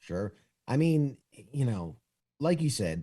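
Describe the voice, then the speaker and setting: In a New York accent, a man speaks at medium pitch and a fairly slow pace, with a dark, mellow tone. His voice is somewhat breathy and moves in very wide pitch swings. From New York City, Spanish Harlem. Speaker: war veteran. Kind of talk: interview.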